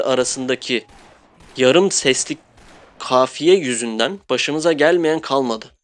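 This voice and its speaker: In a plain, everyday voice, a man speaks at a fairly high pitch and a fairly slow pace with ordinary pitch variation. The sound is dry and close with no echo, over a quiet background. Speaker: gaming youtuber. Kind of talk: game review monologue. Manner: casual.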